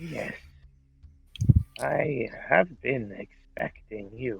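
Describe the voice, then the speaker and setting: At a very slow pace, a man puts on a character voice. His pitch is medium. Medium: actual play. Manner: calm, blunt, matter-of-fact.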